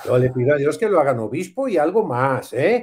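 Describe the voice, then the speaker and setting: With a Mexican accent, a man's voice shows vocal fry and very wide pitch swings. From Mexico. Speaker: priest. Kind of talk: casual chat. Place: home room. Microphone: video call.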